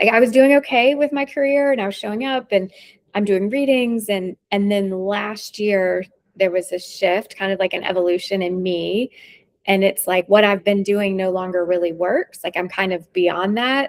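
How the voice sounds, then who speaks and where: A woman speaks at a moderate pace with ordinary pitch variation. Her pitch is medium, and she has an ordinary speaking voice. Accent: American. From US South, North Carolina. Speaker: intuitive reader. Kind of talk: casual chat.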